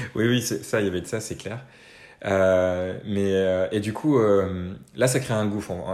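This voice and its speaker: A man speaks in an unremarkable speaking voice at a fairly low pitch, moving at a moderate pace with fairly even intonation. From Normandy, France. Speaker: freelance consultant and musician. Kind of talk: interview conversation.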